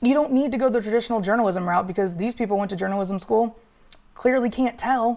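A woman speaks at a fairly high pitch with ordinary pitch variation. The recording is very clean, and the background is silent. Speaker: sports podcast host. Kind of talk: casual solo talk show. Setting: home studio with green screen. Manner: pausing often with fillers.

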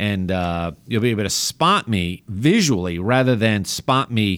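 The speech comes at a very slow pace with a New York accent. Its intonation is lively. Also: man. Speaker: doctor and radio host. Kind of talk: radio health talk show. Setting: radio studio broadcast.

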